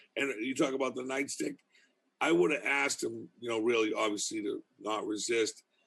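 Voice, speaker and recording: A man speaks with a Boston accent. His pace is moderate. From Boston, US. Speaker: criminal justice professor. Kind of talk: casual interview chat.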